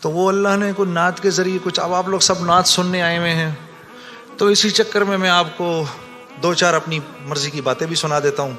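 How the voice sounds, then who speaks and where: A man speaks in a high pitch with fairly even intonation while music plays in the background. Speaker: religious speaker. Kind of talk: religious sermon.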